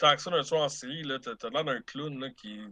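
Against a quiet background, a man with a Quebec accent speaks in a bright, sharp tone. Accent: Québécois French. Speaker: film buff co-reviewer. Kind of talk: casual chat.

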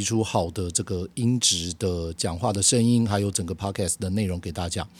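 At a moderate pace, a man with a fairly low pitch and ordinary pitch variation speaks on a very clean recording with a silent background. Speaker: podcast host on bass and music. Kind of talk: solo podcast monologue.

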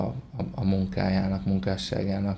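Fairly low in pitch, a man speaks in a dark, mellow tone. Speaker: organic farmer. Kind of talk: podcast interview conversation.

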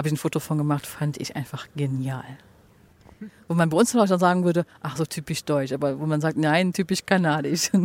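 Delivery comes at a fairly quick pace with ordinary pitch variation. The sound is dry and close, with no echo. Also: woman, very deep, low pitch for a woman. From Germany, Cologne. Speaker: podcast host. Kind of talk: interview. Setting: outdoors on a bench.

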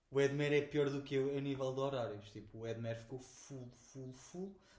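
Heard with audible room echo, a man speaks fairly quickly in a somewhat breathy voice. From Portugal, Oeste region (Lourinhã). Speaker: podcast co-host. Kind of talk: casual chat. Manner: animated.

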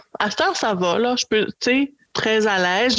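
A woman with a Quebec accent speaks at a moderate pace in a fairly high pitch, the sound dry and close with no echo. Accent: Québécois French. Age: 40s. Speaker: podcast guest on dating. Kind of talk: casual chat.

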